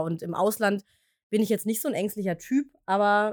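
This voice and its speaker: A woman with a medium pitch at a moderate pace, an ordinary speaking voice. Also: dry, close sound with no echo. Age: 30s. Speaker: podcast co-host. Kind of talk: casual chat. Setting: home office in the attic, in person.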